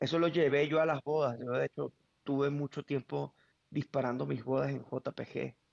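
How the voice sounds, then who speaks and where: A man at a moderate pace, captured with a dry, close sound and no echo. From Venezuela, Caracas. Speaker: wedding photographer, former photojournalist. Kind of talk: interview conversation. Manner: halting, many repetitions.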